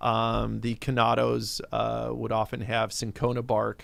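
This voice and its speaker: Speech comes at a fairly slow pace in a very clean recording with a silent background. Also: man. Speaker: spirits producer. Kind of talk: interview. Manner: many fillers.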